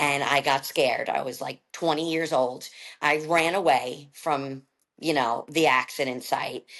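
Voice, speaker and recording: This voice has a New York accent. The tone is animated and the intonation lively. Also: woman. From Brooklyn, New York. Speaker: podcast guest sharing recovery story. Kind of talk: personal testimony in casual interview.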